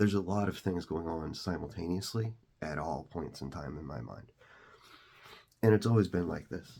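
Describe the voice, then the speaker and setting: With a very deep, low pitch and a dark, mellow tone, a man talks in vocal fry, leaving long, frequent pauses while his pitch varies in an ordinary way. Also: big swings in loudness. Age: 40s. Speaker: content creator. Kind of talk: personal story monologue. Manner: fast; halting, many fillers.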